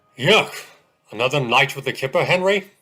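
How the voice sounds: A man's cartoonish character voice, fairly high in pitch and fairly quick in pace.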